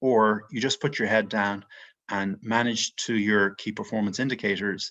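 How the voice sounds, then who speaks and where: A man with an Irish accent speaks at a moderate pace in a fairly low voice. His intonation is monotone and flat, and the background is quiet. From Ireland, Dublin. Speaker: mortgage investment executive. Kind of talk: podcast interview.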